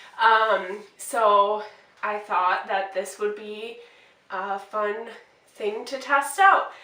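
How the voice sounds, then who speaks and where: Speaking very slowly in an American accent, a woman with a fairly high pitch shows big swings in loudness amid audible room echo. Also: fairly even intonation. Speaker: beauty vlogger. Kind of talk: casual get-ready-with-me makeup tutorial. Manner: casual, hesitant with fillers.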